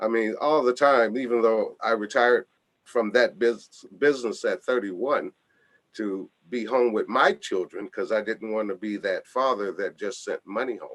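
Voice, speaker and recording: Speaking at a moderate pace in an American accent, a man is heard with a dry, close sound and no echo. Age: 60s. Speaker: foundation founder, radio show guest. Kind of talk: radio interview.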